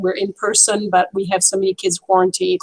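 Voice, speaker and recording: With a French accent, the speaker moves at a fairly quick pace. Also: woman. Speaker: French teacher. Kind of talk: casual chat. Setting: video call.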